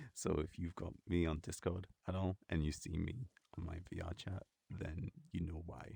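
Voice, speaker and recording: Very deep and low, a man's somewhat breathy voice with a dark, mellow tone comes at a fairly slow pace in a dry, close sound with no echo. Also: fairly even intonation. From northeast of England. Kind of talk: ASMR casual talk to camera. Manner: soft-spoken.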